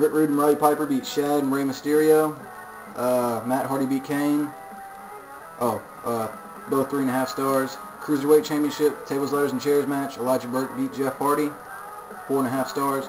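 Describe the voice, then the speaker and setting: A man's fairly high, monotone voice with long, frequent pauses and music in the background. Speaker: video game commentator. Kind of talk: casual game results recap. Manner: fast.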